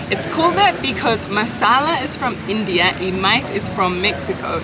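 Music plays in the background as a woman talks at a moderate pace. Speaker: travel vlogger. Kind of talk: casual vlog chat. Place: cafe. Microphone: phone near.

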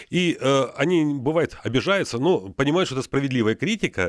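Very fast and with very wide pitch swings, a man with a fairly high pitch speaks in a dry sound with no echo over a quiet background. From Luhansk region, eastern Ukraine. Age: 60s. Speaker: retired military psychiatrist; radio guest. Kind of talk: radio interview. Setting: radio studio. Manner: hesitant, many filler sounds. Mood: animated, friendly. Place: studio. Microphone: studio mic.

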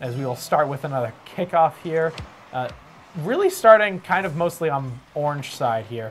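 Music plays behind a man with a fairly high voice. He keeps a moderate pace and lively intonation. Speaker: esports commentator. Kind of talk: live esports commentary. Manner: casual, laughing, unpolished. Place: office.

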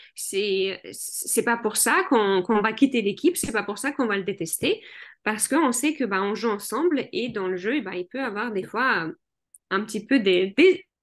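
Over a quiet background, a woman with a non-native accent speaks in a fairly high pitch with lively intonation. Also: fairly slow pace. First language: not French (speaking French). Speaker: general practitioner and hypnotherapist; guest. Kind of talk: interview. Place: home room. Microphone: webcam.

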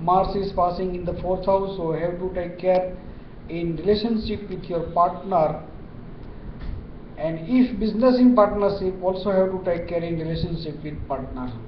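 A man talks at a moderate pace in a high voice with ordinary pitch variation. Light background noise and audible room echo can be heard. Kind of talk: horoscope forecast talk. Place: office. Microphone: webcam.

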